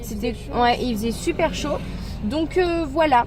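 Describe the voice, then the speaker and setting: A woman speaks at a moderate pace, her pitch varying in an ordinary way, with noticeable background noise present. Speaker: YouTuber. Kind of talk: casual talk to camera.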